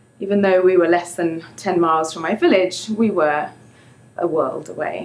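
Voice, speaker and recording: Here a woman speaks with an English accent. Her intonation stays fairly even. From England. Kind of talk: live storytelling performance.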